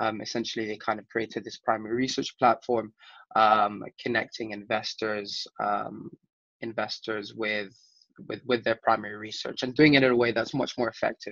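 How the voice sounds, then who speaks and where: With vocal fry and a monotone, flat delivery, a man talks at a moderate pace over a quiet background in a dry sound with no echo. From Chile. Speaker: startup co-founder; guest. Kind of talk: interview. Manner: halting.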